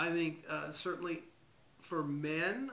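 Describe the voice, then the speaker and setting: Audible room echo is on this recording. The voice belongs to a man. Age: 60s. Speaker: physician. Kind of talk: interview. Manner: hesitant, with fillers.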